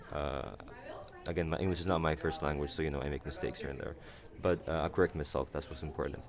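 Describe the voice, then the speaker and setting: A man with an Arabic accent and vocal fry talks at a very deep, low pitch with ordinary pitch variation. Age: 20s. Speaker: university student, vlogger. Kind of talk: casual vlog monologue. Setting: university library. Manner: halting, many fillers and self-corrections.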